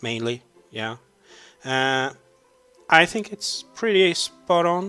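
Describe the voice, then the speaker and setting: In a Swedish accent, a man talks at a very slow pace with lively intonation. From Sweden. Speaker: YouTuber answering fan questions. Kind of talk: Q&A video, casual. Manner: hesitant, many fillers.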